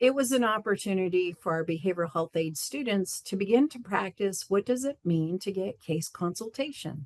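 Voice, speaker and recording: Using an ordinary speaking voice at a medium pitch, a woman talks at a moderate pace with hardly any pauses, the sound dry and close with no echo. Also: lively intonation. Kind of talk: conference presentation.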